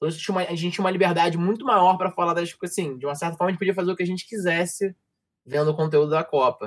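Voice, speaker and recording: This man talks at a very fast pace. His pitch is high, with ordinary variation. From Rio de Janeiro, Brazil. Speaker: sports journalism graduate, football commentator. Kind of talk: casual chat. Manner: fast, slurred speech.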